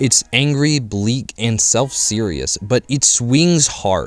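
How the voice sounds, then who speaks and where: A man with lively intonation at a moderate pace, music playing in the background. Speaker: film reviewer. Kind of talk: film review narration.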